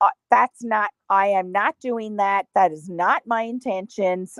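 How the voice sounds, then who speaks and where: A woman with a Canadian accent speaks in an ordinary speaking voice at a fairly slow pace with ordinary pitch variation, in a dry, close sound with no echo. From Canada. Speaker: content creator. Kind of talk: casual chat.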